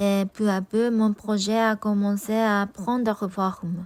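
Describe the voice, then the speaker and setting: Over a very clean recording with a silent background, a woman with a Japanese accent speaks very slowly at a fairly high pitch in a monotone, flat intonation. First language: Japanese (speaking French). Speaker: vlogger. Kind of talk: personal vlog narration.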